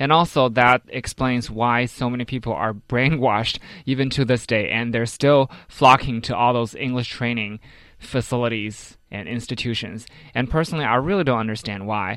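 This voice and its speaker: A man with a Chinese accent speaks at a moderate pace and medium pitch, in a very clean recording with a silent background. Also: ordinary pitch variation. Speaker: radio co-host. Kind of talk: radio panel discussion. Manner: animated.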